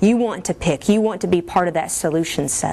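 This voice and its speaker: A woman speaks at a very fast pace with a strong Kentucky accent. Her tone is animated. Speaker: military officer. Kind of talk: briefing to an audience.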